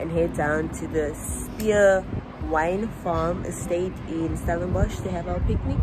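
The background carries noticeable noise. A woman speaks at a very slow pace. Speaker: vlogger. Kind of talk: casual vlog chat. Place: home room. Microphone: phone near.

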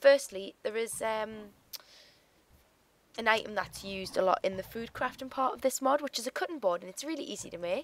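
With a British accent, a woman speaks at a fairly high pitch and a fairly quick pace, her intonation lively and her loudness swinging widely. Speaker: gaming YouTuber. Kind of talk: gameplay commentary. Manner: casual, relaxed.

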